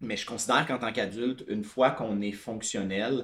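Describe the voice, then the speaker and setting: Speaking with a Quebec accent, the voice holds a moderate pace and fairly even intonation. The recording is very clean, with a silent background. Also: man. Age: 30s. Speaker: tech product director. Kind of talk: casual interview.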